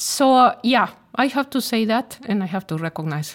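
In a very clean recording with a silent background, a woman with a Spanish accent talks at a fairly slow pace, her pitch swinging very widely. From Mexico. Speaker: corporate executive and podcast host. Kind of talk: corporate podcast interview.

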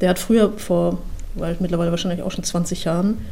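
A woman at a medium pitch is heard with audible room echo and noticeable background noise. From Mecklenburg-Western Pomerania, Germany. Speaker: procurement manager. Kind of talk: interview.

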